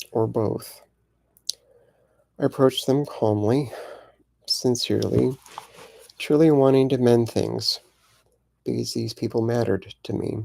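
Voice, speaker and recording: A soft-spoken man with a gentle tone, a fairly slow pace, and long, frequent pauses. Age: 50s. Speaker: queer elder vlogger. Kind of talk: personal testimony.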